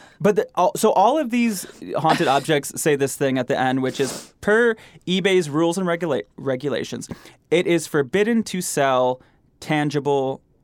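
A man talks in a fairly high voice with an American accent. His pace is moderate and his intonation lively. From US Midwest, Michigan. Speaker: podcast host. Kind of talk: casual chat. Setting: studio.

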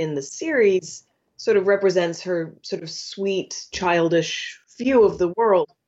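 Here is a woman with an unremarkable speaking voice at medium pitch. She talks at a fairly slow pace with ordinary pitch variation. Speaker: chef and cookbook author.

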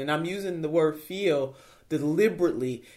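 A passionate woman's voice, very deep and low, at a moderate pace with ordinary pitch variation, on a very clean recording with a silent background. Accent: American. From Cleveland, Ohio, US Midwest. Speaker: politician and campaign co-chair. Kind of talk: political interview conversation. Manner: passionate, emphatic.

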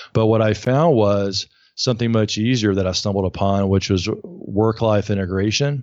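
A man speaks in a Southern US accent. His pitch is fairly low and his loudness very even. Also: ordinary pitch variation, moderate pace. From US South, Alabama. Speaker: burnout coach and author. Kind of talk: interview.

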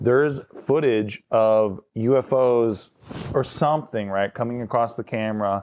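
At a moderate pace, a man speaks with a normal speaking voice at medium pitch and fairly even intonation. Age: 30s. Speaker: comedian. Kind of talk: casual chat.

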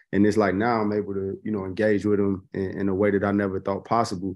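Against a quiet background, a man with a Chicago accent talks at a very fast pace in a fairly low pitch. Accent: Chicago American English. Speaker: golf social media personality. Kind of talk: casual interview. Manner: laid-back, slangy.

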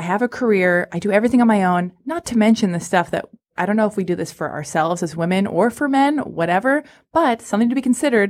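A woman with an American accent, medium pitch and a very fast pace. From Los Angeles, US. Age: 30s. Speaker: podcast host. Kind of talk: casual chat. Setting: studio.

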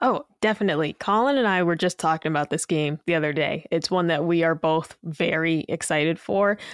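A woman with a normal speaking voice talks at a fairly quick pace, fairly low in pitch, with ordinary pitch variation, hardly any pauses and very even loudness. The recording is very clean with a silent background and a dry, close sound with no echo. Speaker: podcast co-host. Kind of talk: casual chat.

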